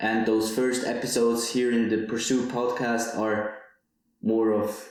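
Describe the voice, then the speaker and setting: A man talks at a fairly slow pace in a monotone, flat delivery. Audible room echo surrounds his voice. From Switzerland, Zurich area. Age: 20s. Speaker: podcaster, university student. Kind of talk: personal monologue podcast. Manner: some hesitations and repeated words.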